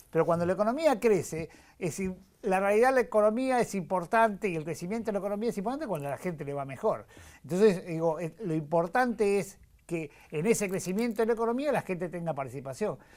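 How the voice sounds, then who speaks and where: A man speaks at a very fast pace in a high voice with lively intonation. The recording is very clean, with a silent background. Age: 60s. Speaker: politician. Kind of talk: TV interview. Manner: halting, many fillers.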